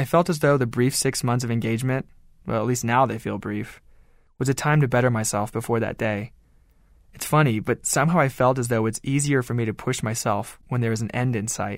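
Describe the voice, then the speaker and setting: A man with an ordinary speaking voice talks at a fairly quick pace with fairly even intonation and a medium pitch. The recording is very clean, with a silent background. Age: 20s. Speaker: co-author. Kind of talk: reading aloud.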